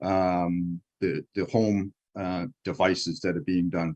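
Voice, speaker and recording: A man's very deep, low voice, dry and close with no echo, over a quiet background. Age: 70s. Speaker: patient representative on advisory panel. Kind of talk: panel discussion. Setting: video conference. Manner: halting.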